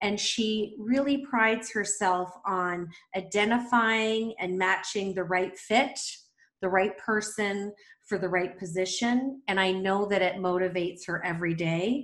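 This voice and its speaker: A woman's normal speaking voice at a medium pitch, with ordinary pitch variation and a fairly slow pace. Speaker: podcast host. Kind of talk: interview.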